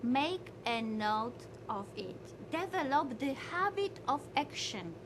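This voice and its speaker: A woman with a high pitch speaks at a very slow pace with very wide pitch swings, amid audible room echo and noticeable background noise. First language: not English, learned English five years ago. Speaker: motivational speaker. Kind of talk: motivational lecture. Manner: halting non-native English.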